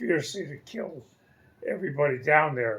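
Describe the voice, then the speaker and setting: Somewhat breathy, this man talks at a moderate pace. His pitch is fairly high and varies in an ordinary way. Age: 80s+. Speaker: retiree telling family war story. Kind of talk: family storytelling interview answer.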